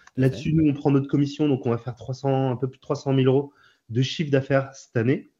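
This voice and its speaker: Talking at a very fast pace, a man with a medium pitch sounds somewhat breathy and keeps his intonation fairly even. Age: 30s. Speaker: startup founder. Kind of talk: interview. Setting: video call. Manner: hesitant, frequent fillers.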